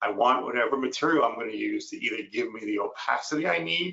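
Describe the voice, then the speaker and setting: A man with an American accent speaks at a moderate pace. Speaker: dental ceramist and educator. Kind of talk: webinar lecture.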